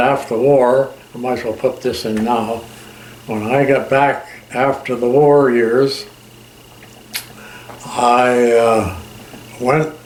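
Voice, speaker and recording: Over noticeable background noise, a man at medium pitch speaks at a very slow pace with fairly even intonation and long, frequent pauses. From Canada. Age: old. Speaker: war veteran. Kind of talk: interview answer, recounting war memories. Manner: hesitant, with fillers.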